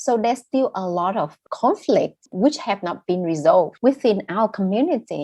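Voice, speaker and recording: Against a quiet background, a woman with a Vietnamese accent speaks fairly high in pitch with very wide pitch swings. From northern Vietnam, raised in southern Vietnam. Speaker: novelist and poet. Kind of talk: interview.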